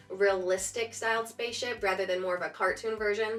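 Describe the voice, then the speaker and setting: Over music in the background, a woman speaks at a moderate pace in a fairly high voice. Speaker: artist. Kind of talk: casual talk to camera.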